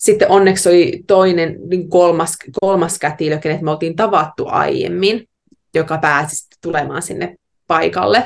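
A woman with a plain, everyday voice speaks at a moderate pace and fairly low pitch, using ordinary pitch variation. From Finland, Savo (Heinävesi). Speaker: yoga teacher and new mother. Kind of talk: casual interview conversation. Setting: remote call from Australia.

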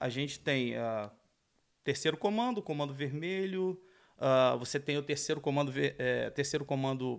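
A man with an unremarkable speaking voice talks at a moderate pace. The recording is very clean, with a silent background. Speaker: former police officer. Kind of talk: casual chat.

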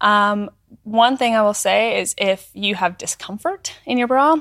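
A woman with a Canadian accent and a fairly high pitch speaks in a plain, everyday voice, the sound dry and close with no echo. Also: very clean recording, silent background. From northern Alberta, Canada. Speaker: content creator. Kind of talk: casual chat. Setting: studio.

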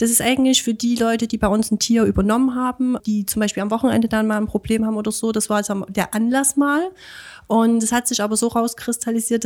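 At a very fast pace, a woman speaks in a fairly high pitch with monotone, flat intonation. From Chemnitz, Saxony. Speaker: animal shelter volunteer. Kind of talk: interview. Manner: hesitant, many fillers.

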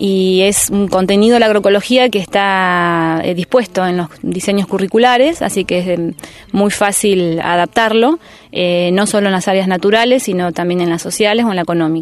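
At a moderate pace and medium pitch, this woman talks with ordinary pitch variation. She has a plain, everyday voice. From rural Buenos Aires province, Argentina. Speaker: teacher and community organizer. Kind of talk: interview. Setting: outdoors.

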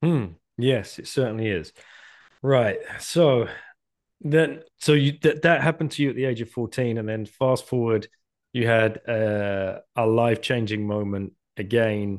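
Against a quiet background, a man uses a normal speaking voice at medium pitch, with ordinary pitch variation and a fairly slow pace. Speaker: podcast host. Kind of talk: casual interview. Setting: video call.

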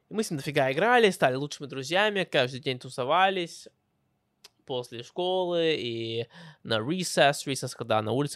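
Heard on a very clean recording with a silent background, a man speaks with an English accent. His pitch is fairly high and his pace moderate. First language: English (speaking Russian). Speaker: podcast host. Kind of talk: personal storytelling monologue. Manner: halting, self-correcting.

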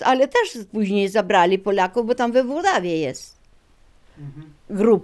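Speaking very slowly, a woman at medium pitch uses lively intonation with big swings in loudness. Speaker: eyewitness. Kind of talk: testimony.

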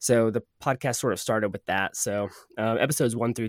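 Very cleanly recorded with a silent background and a dry, close sound with no echo, a man with an ordinary speaking voice talks at a moderate pace and fairly low pitch with fairly even intonation. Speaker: podcast host and sound designer.

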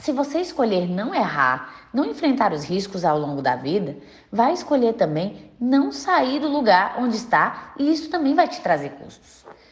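Vocal fry marks a woman's fairly high voice, which moves in very wide pitch swings and big swings in loudness. She talks at a fairly slow pace with hardly any pauses, and audible room echo is present. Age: 20s. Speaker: clinical psychologist and podcast host. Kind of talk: scripted narration.

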